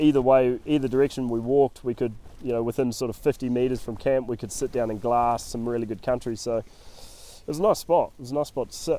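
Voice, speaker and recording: Talking at a very fast pace in a New Zealand accent, a man keeps a medium pitch and fairly even intonation. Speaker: hunting guide and podcast host. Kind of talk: casual chat.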